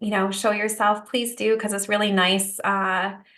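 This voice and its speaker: A woman at a medium pitch speaks with audible room echo. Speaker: prenatal yoga teacher. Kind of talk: live webinar talk. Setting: video call.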